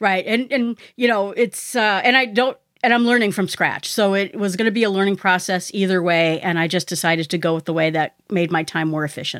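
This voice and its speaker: Speech moves at a fairly quick pace with hardly any pauses and ordinary pitch variation. The recording is very clean, with a silent background. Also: woman, medium pitch for a woman. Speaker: podcaster. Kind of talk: casual interview chat. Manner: fast talker.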